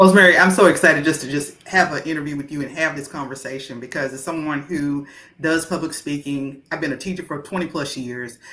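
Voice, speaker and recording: A woman with an American accent talks at a very fast pace with hardly any pauses, her very deep, low voice carrying a bright, sharp tone and big swings in loudness. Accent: heavy small-town country. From rural US, small town. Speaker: interview host, teacher. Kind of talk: interview. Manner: enthusiastic.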